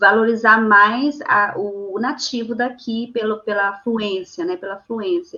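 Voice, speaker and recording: A woman talks at a very slow pace with hardly any pauses, her fairly high pitch showing ordinary pitch variation. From Brazil, Amazonas (Tefé). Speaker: poet and translator. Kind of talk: interview. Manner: halting, many fillers.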